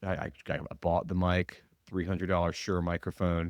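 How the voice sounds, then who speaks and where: On a very clean recording with a silent background and a dry, close sound with no echo, a man speaks at a moderate pace in a very deep, low pitch. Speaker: podcast host. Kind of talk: casual monologue. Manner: hesitant, many fillers; sounds stiff and formal.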